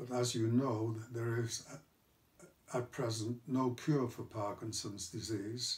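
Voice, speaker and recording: Speaking at a very slow pace, a man of medium pitch sounds somewhat breathy, with fairly even intonation. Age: 80s+. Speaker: retired executive with Parkinson's disease. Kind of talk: personal talk to camera. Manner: halting, with hesitations and stammers.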